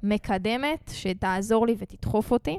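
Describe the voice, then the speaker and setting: A woman speaks very slowly at a fairly high pitch with fairly even intonation, on a very clean recording with a silent background and a dry, close sound with no echo. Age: 20s. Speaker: podcast host, rapper and music marketing coach. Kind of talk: casual monologue. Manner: casual, filler-heavy.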